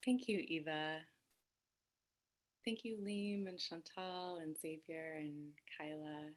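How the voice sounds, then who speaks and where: A woman's fairly low voice at a very slow pace, with ordinary pitch variation and long, frequent pauses. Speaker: Buddhist activist and speaker. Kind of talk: talk. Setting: video webinar from home. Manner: raising voice to be heard. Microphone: too quiet.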